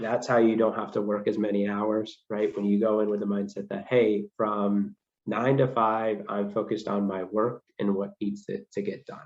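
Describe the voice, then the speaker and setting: Hardly pausing, a man with a fairly low pitch speaks at a moderate pace in a monotone, flat intonation. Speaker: accounting firm presenter. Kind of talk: career presentation. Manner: hesitant, many ums.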